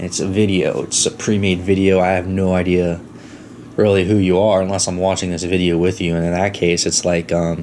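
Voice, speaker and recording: Over noticeable background noise and audible room echo, a man with an American accent talks at a fairly quick pace in a monotone, flat delivery at a very deep, low pitch. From Florida. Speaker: podcast host. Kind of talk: casual monologue storytelling. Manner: fast.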